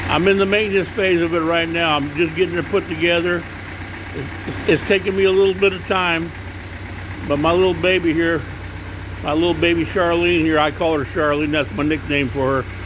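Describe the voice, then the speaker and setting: A man's high-pitched, animated voice at a fairly quick pace, with noticeable background noise. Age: 60s. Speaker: car enthusiast vlogger. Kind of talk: casual video walkaround. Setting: outdoors at night by his car.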